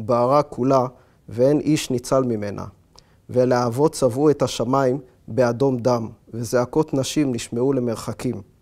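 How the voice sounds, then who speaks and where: Against a quiet background, a man talks at a fairly slow pace with fairly even intonation. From Israel. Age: 40s. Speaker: author. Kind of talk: reading aloud; interview monologue. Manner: hesitant with fillers. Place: home room. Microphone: lapel.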